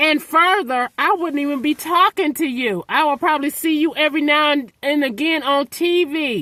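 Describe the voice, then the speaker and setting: Shouting in a raised, projected voice, a woman with a high pitch shows ordinary pitch variation in a dry, close sound with no echo. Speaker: vlogger. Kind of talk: emotional vlog rant. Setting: outdoors in snow. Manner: yelling.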